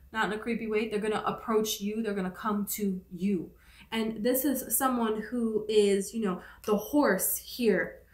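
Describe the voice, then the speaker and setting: Speaking at a fairly slow pace, a woman with a fairly high voice keeps her intonation fairly even, and the room echo is audible. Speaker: tarot reader. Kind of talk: tarot reading. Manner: casual, filler-heavy.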